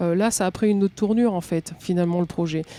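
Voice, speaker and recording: Dry and close with no echo, a woman's voice has a dark, mellow tone. She speaks at medium pitch with ordinary pitch variation. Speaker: metal musician. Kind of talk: podcast interview answer.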